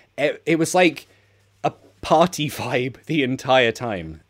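A man with a London accent and lively intonation. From London, England. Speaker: English teacher. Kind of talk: casual chat.

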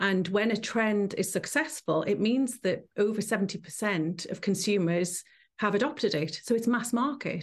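A woman's somewhat breathy voice at medium pitch, with ordinary pitch variation, very even loudness and a moderate pace, over a quiet background. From northeast England, Newcastle. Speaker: entrepreneur and trend forecaster. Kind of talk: interview. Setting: live stream.

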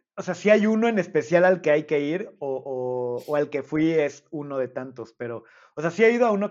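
In a Mexican accent, a man speaks with a fairly high pitch and lively intonation. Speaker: podcast host. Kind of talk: casual chat.

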